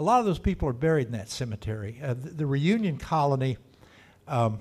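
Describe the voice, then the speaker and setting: A man with a Texan accent, fairly high pitch, lively intonation, a somewhat breathy quality and a very fast pace. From Texas, Dallas. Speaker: local historian speaker. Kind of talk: talk to a club meeting. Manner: casual, halting with restarts.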